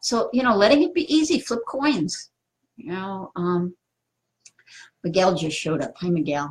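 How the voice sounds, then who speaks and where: The intonation is lively, and the voice comes across somewhat breathy. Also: woman. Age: 60s. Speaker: spiritual teacher. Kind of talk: live stream talk answering viewer comments. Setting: Facebook live video. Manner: casual, filler-heavy.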